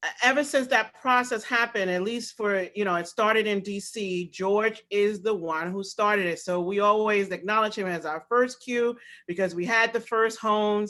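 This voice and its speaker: This woman's voice sits at a fairly high pitch, with a bright, sharp tone and ordinary pitch variation. She keeps a moderate pace with hardly any pauses, and the recording is very clean with a silent background. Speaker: staff member. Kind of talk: casual remarks in staff meeting.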